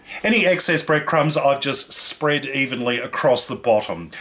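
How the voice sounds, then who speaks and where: Amid noticeable background noise, a man with an Australian accent speaks at a moderate pace. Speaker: cooking show host. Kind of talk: cooking tutorial. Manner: animated.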